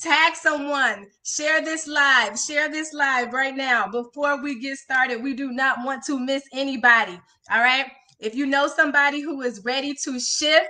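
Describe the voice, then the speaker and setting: A woman's raised, projected voice, bright and sharp in tone, at a fairly slow pace with fairly even intonation over a quiet background. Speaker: transformation coach. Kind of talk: live stream motivational talk. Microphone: phone near.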